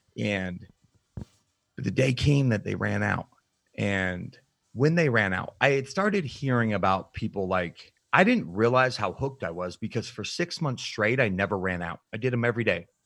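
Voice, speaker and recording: Recorded very cleanly against a silent background, a man with an American accent and an unremarkable speaking voice talks at a moderate pace in a medium pitch, his intonation lively. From Utah, US. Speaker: nutrition coach and bodybuilder. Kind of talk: interview, personal testimony.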